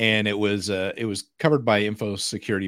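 With an American accent, a man speaks in a normal speaking voice at a moderate pace and a fairly low pitch. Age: 50s. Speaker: cybersecurity podcast co-host. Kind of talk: casual chat. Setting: live stream.

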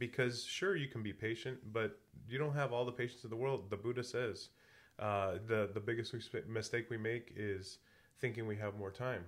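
Talking at medium pitch and a moderate pace, a man has an ordinary speaking voice with fairly even intonation. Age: 40s. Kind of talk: casual chat.

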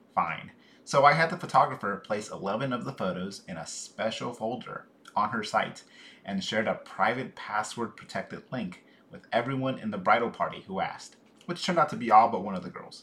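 This man speaks at a medium pitch and a fairly quick pace. His intonation is lively, and his loudness swings widely. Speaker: podcast co-host. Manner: soft-spoken, jokey.

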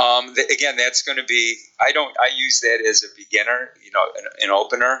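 A man speaks at a fairly quick pace with a Chicago accent. His loudness swings widely. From Chicago, US Midwest. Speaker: speed coach and history teacher. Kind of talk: casual interview chat.

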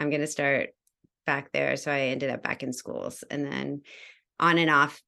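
Against a quiet background, a woman with an American accent speaks at a fairly slow pace. Her very deep, low voice carries vocal fry. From US South, Georgia. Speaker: educator. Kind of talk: casual interview.

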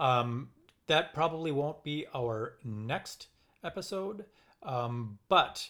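In a Minnesotan accent, a man speaks at a very slow pace and medium pitch on a very clean recording with a silent background. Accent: Minnesotan, recognizable. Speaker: podcast co-host, violist. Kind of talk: casual chat.

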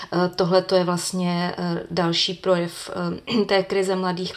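The intonation is monotone and flat, at a moderate pace. Noticeable background noise runs throughout. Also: woman. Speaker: foreign news journalist. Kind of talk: podcast interview. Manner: hesitant, many fillers.

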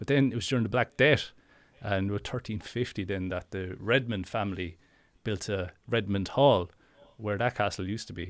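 With a southeast Irish accent, a man speaks at a fairly quick pace. His pitch is fairly low, with ordinary variation. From Ireland; Wexford, southeast Ireland. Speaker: ghost story teller, local guide. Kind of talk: casual chat, storytelling. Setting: remote call, recorded. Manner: fast talker.

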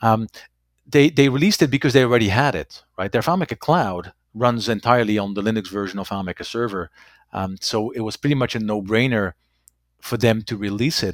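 Fairly quick speech in a Dutch accent with ordinary pitch variation, dry and close with no echo, on a very clean recording with a silent background. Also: man, medium pitch for a man. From Belgium. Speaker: FileMaker consultant. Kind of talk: interview.

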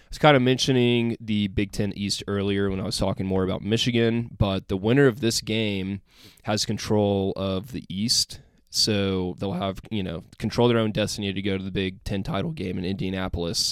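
A plain, everyday voice moves at a moderate pace with fairly even intonation and big swings in loudness over a very clean recording with a silent background. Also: man. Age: 20s. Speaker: sports podcast host. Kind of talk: casual solo commentary.

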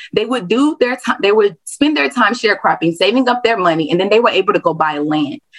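A woman with an American accent, fairly high in pitch, with very wide pitch swings and a fairly quick pace. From Houston, Texas. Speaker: public historian. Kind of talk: podcast interview, casual explanation.

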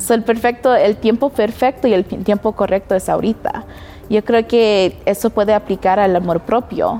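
A woman speaks at a moderate pace with a fairly high pitch and fairly even intonation, her loudness very even. Music plays in the background. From US, Denver, Colorado. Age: 20s. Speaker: professional model. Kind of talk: casual interview.

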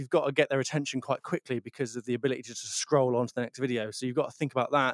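Dry, close sound with no echo and fairly even intonation. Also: man. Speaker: comedian and musician. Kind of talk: casual interview.

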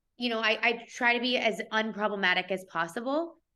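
Moderately paced speech from a woman with a fairly high pitch and ordinary pitch variation. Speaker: comedian and content creator. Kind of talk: casual interview chat. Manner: casual, playful, filler-heavy.

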